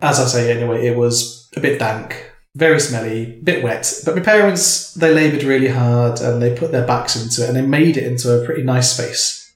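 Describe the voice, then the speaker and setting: In an English Midlands accent, a man talks at a fairly quick pace. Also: medium pitch for a man, ordinary pitch variation, hardly any pauses. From England, Northampton. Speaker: artist and poet. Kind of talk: casual chat. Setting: home kitchen.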